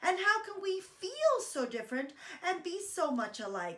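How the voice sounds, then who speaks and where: A woman's put-on character voice, extremely high in pitch with very wide pitch swings, at a moderate pace. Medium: read story.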